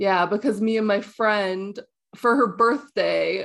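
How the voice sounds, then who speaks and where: In an ordinary speaking voice, a woman talks with a Canadian accent at a fairly high pitch. Her pace is fairly slow, and the background is quiet. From Canada. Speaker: video game streamer. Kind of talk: casual chat.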